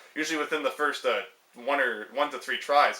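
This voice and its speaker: Over noticeable background noise, a man speaks very fast at a fairly high pitch. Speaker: gaming youtuber. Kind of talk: casual tutorial vlog. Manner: loud; hesitant, many fillers.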